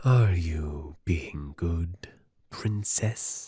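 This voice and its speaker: A man puts on a character voice with a very deep, low pitch. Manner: creepy, menacing.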